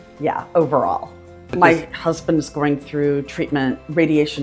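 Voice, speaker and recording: A woman's very deep, low voice over background music. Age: 60s. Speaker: dental patient. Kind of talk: patient testimonial interview.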